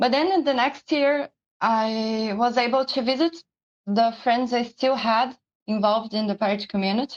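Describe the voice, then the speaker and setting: A woman with a Portuguese accent, high in pitch, at a fairly slow pace against a quiet background. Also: dry, close sound with no echo. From Brazil. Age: 20s. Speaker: pirate community leader. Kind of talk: personal testimony presentation. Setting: live-streamed online symposium.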